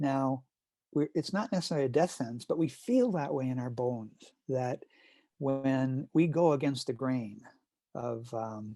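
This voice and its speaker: A man talks at a fairly slow pace with a dark, mellow tone. The recording is very clean, with a silent background. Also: medium pitch for a man, ordinary pitch variation, dry, close sound with no echo. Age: 70s. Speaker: climate activist. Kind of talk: interview conversation. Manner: halting.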